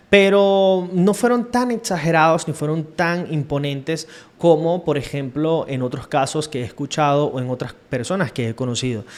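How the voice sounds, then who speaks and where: This man has a fairly high pitch and lively intonation at a moderate pace. He barely pauses. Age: 30s. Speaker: podcaster / self-reflection vlogger. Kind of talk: casual monologue, personal reflection. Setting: home recording on camera. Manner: hesitant, with fillers.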